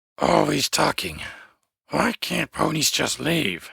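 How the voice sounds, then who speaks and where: A man puts on a raspy, growling character voice. He speaks at a fairly slow pace. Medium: read story. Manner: growling, broken grammar.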